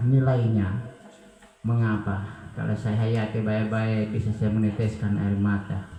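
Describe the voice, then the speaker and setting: A man with a medium pitch talks amid noticeable background noise and audible room echo. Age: 60s. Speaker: church member giving testimony. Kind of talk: testimony.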